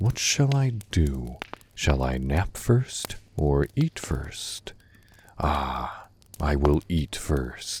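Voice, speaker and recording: A very slow pace marks this delivery. The voice is a put-on character voice. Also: man, very deep, low pitch for a man, ordinary pitch variation. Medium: read story.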